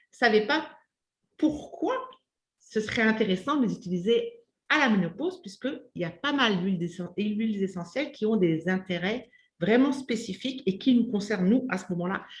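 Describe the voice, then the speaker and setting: A woman with a fairly high pitch speaks in a somewhat breathy voice with lively intonation. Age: 50s. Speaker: community host, menopause channel. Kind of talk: interview.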